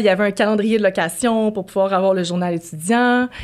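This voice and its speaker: A woman with a plain, everyday voice speaks at a fairly quick pace, with medium pitch and ordinary pitch variation. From Quebec City, Quebec. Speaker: podcast co-host. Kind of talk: casual chat.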